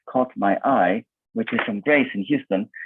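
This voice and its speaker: This man speaks with an Italian accent. His pitch swings very widely. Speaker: event moderator. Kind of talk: online panel discussion.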